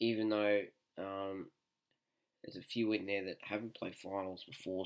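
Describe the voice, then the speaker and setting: A soft-spoken man talks with an Australian accent at a fairly low pitch. The recording is very clean, with a silent background. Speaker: sports tipster YouTuber. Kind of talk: casual sports predictions. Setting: at home, others asleep.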